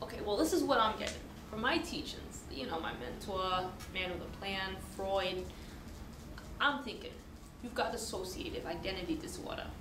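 Long, frequent pauses break up a woman's moderate pace. Noticeable background noise can be heard. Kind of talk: scripted role-play dialogue. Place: classroom. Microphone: camera far.

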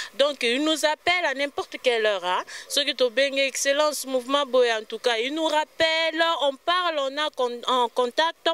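A woman talks at a high pitch and fairly slow pace with ordinary pitch variation, in a dry sound with no echo. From DR Congo. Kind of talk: TV talk show interview. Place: street. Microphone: handheld.

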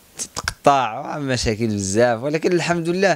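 A man speaks with a dry sound that carries no echo. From Morocco, Guelmim; Morocco. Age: 20s. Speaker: long-distance cyclist. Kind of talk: personal account interview. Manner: halting, many pauses and fillers. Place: cafe. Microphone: handheld.

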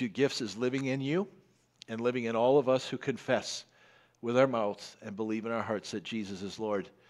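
A man speaks at a fairly quick pace in a medium pitch. His pitch varies in an ordinary way against a quiet background. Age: 50s. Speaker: pastor. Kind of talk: sermon. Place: church. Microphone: headset.

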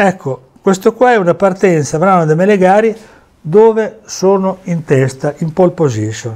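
Lively intonation carries the speech at a fairly slow pace. The background stays quiet. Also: man, high pitch for a man. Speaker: former amateur racing driver and memorabilia dealer. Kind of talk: storytelling over photos. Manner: animated. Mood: proud, enthusiastic. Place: home room. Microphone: lapel.

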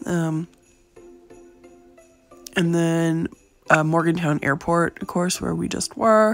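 A woman's fairly low voice at a very slow pace, with ordinary pitch variation, long, frequent pauses and music in the background. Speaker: gaming guide creator. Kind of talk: casual gameplay guide commentary. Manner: casual, hesitant with fillers.

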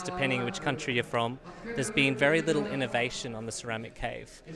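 Crowd noise runs behind a man talking very fast with lively intonation. The sound itself is dry, with no echo. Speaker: aquarium products maker. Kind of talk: interview answer. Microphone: handheld.

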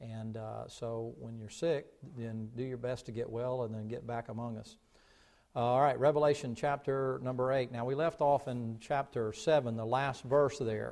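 The man's intonation stays fairly even as he talks at a moderate pace. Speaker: pastor. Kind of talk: sermon. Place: church.

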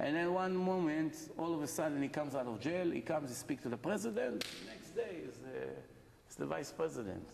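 A man with fairly high pitch and lively intonation at a fairly quick pace, over noticeable background noise. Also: big swings in loudness. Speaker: rabbi giving a Torah lecture. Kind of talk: impassioned sermon, urging listeners on. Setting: live lecture to an evening audience. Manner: urgent, emphatic, driving repetition. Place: hall. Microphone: camera far.

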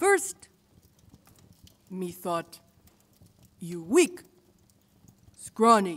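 Using a put-on character voice, a woman speaks very slowly at a medium pitch with a fairly bright tone and big pitch swings.

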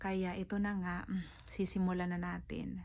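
Audible room echo on a female speaker talking at a moderate pace. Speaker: vlogger. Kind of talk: casual vlog talk.

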